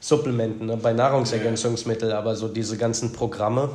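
A man of medium pitch talks fairly quickly in a flat monotone, with audible room echo. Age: 30s. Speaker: personal trainer. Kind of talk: casual chat.

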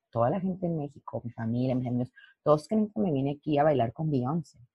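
A woman's very deep, low voice, somewhat breathy, with lively intonation. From Mexico, Lerdo, Durango. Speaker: professional dancer and dance teacher. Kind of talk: interview.

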